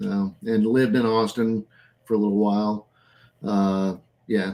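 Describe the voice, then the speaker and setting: A man's fairly low, dark, mellow voice in a Texan accent, fairly slow, with monotone, flat intonation and very even loudness. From southeast Texas (Beaumont). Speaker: comic artist. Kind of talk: casual live stream chat.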